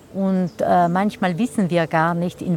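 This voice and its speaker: A woman's voice sits at a fairly low pitch. She speaks at a moderate pace. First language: Ladin (speaking German). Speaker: translator and magazine editor. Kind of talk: interview. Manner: hesitant, with frequent fillers.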